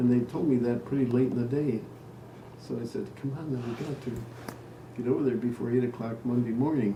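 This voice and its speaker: Someone with an American accent speaks at a fairly quick pace with fairly even intonation, over noticeable background noise. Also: man. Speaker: retired teacher and researcher. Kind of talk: casual storytelling in family conversation.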